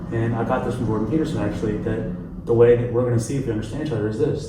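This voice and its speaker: With an American accent and fairly even intonation, a man speaks amid audible room echo and noticeable background noise. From US South. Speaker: interview guest. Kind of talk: casual interview chat. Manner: relaxed, laid-back.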